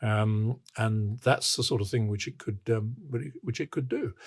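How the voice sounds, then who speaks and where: In a very clean recording with a silent background, a man with a British accent speaks at a medium pitch and moderate pace, sounding somewhat breathy. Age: 80s+. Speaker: infrastructure expert. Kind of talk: interview. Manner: halting.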